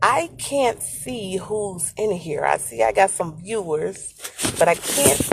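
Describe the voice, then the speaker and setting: Over music in the background, a woman speaks at a very slow pace with lively intonation. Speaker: livestream host. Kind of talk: casual chat. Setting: outdoors, on the move. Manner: speech slightly affected by retainers.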